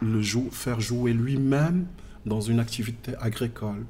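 Dark and mellow, the man's voice is medium in pitch and somewhat breathy. He talks at a very slow pace with ordinary pitch variation. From southern Morocco (Agadir, Tiznit). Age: 40s. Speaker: visual artist. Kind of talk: interview. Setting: in person. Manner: halting.

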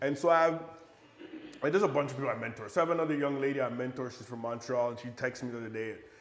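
Audible room echo and noticeable background noise surround a very fast voice with an American accent and big swings in loudness. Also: man, medium pitch for a man, ordinary pitch variation. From Buffalo, New York, US. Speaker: real estate developer and investor. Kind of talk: podcast interview. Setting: at his home.

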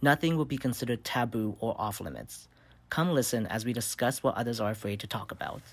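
A man with an American accent talks at a very fast pace, his medium-pitched voice showing vocal fry and ordinary pitch variation. The recording is very clean, with a silent background. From US Midwest (South Bend, Indiana). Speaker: podcast host, social work student. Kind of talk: scripted introduction.

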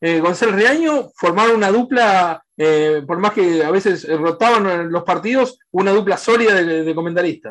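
The voice moves at a moderate speed, and the background stays quiet. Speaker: sports journalist. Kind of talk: interview. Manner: halting.

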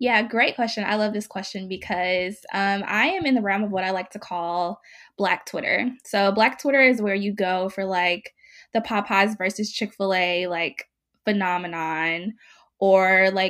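A woman with an American accent and an unremarkable speaking voice, medium in pitch, on a very clean recording with a silent background. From US South, Mississippi. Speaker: blogger. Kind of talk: casual interview.

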